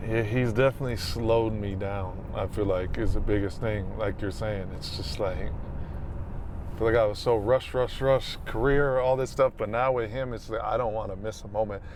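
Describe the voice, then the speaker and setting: With an American accent, the speaker talks at a moderate pace with ordinary pitch variation in a room with audible echo. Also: man. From US Midwest, Minneapolis. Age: 30s. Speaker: podcast host, new father. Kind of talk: casual chat. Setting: in a car.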